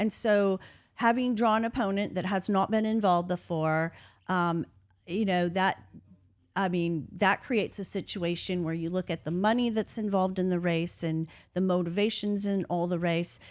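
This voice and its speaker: At a moderate pace, a woman uses a normal speaking voice at medium pitch with fairly even intonation, in a very clean recording against a silent background. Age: 60s. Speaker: politician. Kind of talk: interview.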